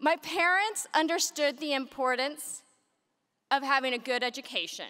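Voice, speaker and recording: A woman projects a raised voice at a high pitch. Her tone is bright and sharp. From United States, Mexican American family. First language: Spanish. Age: 40s. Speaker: business executive, keynote speaker. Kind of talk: keynote speech.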